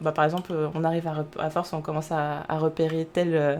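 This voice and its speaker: This woman's voice sits fairly low in pitch. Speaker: streamer. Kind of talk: live gameplay commentary. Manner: fast; halting, many fillers.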